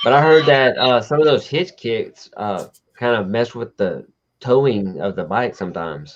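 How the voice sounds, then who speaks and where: Speaking at medium pitch and a moderate pace, a man with a Southern US accent uses lively intonation. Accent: Southern twang. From Texas, Houston. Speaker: motorcycle show host. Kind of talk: casual chat. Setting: live stream.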